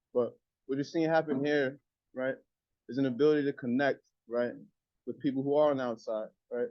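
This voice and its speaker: Talking at a very fast pace, a man uses a medium pitch. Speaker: formerly incarcerated speaker addressing debaters. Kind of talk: motivational speech. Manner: animated.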